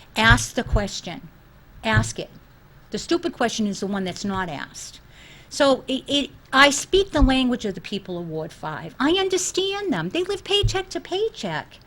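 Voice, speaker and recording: Speaking at a moderate pace with a Boston accent, a woman uses a high voice with very wide pitch swings and big swings in loudness. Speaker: school committee candidate. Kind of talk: interview. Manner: animated.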